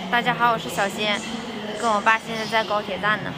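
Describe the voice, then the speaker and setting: A woman's voice amid noticeable background noise. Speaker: travel vlogger. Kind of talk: casual vlog chat. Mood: cheerful, a bit nervous. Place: station. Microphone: phone near.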